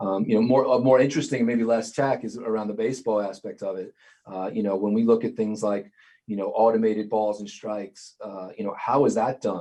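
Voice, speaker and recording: With a New York accent and a dark, mellow tone, a man speaks at medium pitch and a fairly quick pace, his intonation fairly even. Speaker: sports league IT director. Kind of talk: interview. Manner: many fillers and hesitations.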